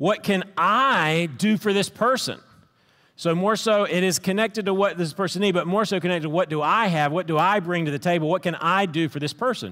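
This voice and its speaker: A man talks at a fairly quick pace in a bright, sharp tone. His pitch varies in an ordinary way against a quiet background. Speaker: pastor. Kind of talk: sermon. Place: stage. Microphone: headset.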